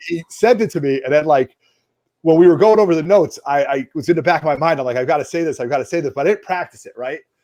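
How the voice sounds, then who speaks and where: The speech moves at a very fast pace. It has a dark, mellow tone and ordinary pitch variation. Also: man, fairly high pitch for a man. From US East Coast. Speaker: comics show host. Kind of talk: casual chat. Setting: home basement livestream. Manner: animated.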